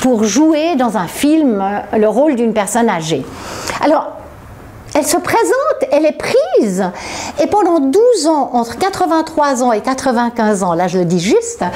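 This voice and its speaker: Through noticeable background noise, a woman with a high pitch speaks at a fairly slow pace, her pitch swinging very widely while her loudness stays very even. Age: 60s. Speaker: author. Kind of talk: interview. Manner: halting.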